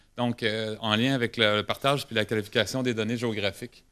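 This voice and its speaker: A man speaks at a moderate pace in a fairly low, bright, sharp voice with monotone, flat intonation. The recording is very clean, with a silent background. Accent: Quebec. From Quebec. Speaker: government geomatics specialist. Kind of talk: conference presentation. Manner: halting, many hesitations and repetitions.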